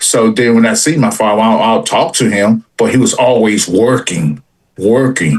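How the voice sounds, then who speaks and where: The delivery is moderately paced. It comes in a plain, everyday voice. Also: man. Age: 60s. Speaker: sports stream panelist. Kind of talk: casual panel chat.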